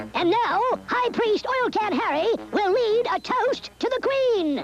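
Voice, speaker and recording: Delivered at a fairly slow pace, a cartoonish character voice sits at an extremely high pitch against clear background noise. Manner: sardonic.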